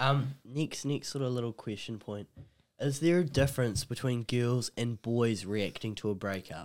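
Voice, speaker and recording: The speaker has a New Zealand accent, a moderate pace and ordinary pitch variation. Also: man, medium pitch for a man. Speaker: podcast co-host. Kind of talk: casual chat.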